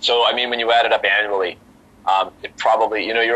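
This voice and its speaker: A man races through his words very fast, with noticeable noise behind him. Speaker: master of ceremonies and auctioneer. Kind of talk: podcast interview answer, casual conversational.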